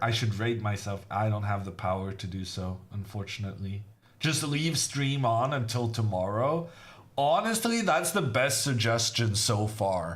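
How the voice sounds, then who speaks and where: Audible room echo surrounds a man speaking at medium pitch and a fairly slow pace with lively intonation. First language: not English. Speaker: chess grandmaster commentator. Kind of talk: live commentary. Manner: casual, chatty.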